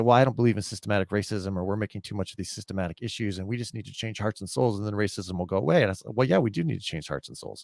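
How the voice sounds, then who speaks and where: Recorded very cleanly against a silent background, a man speaks at a fairly low pitch with ordinary pitch variation, in a dry, close sound with no echo. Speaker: podcast co-host, pastor. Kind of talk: casual discussion of faith and politics. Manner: fast.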